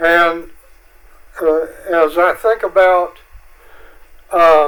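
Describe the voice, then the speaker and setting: In a North Carolina accent, a man with a high pitch speaks at a very slow pace with fairly even intonation. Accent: Southern US (North Carolina). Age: 80s+. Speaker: public commenter at county meeting. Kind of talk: public comment. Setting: county board meeting.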